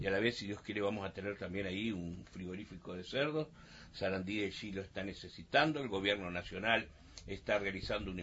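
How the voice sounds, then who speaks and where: Speaking at a fairly quick pace, a man uses an unremarkable speaking voice with a fairly low pitch. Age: 60s. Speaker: mayor. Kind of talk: radio interview.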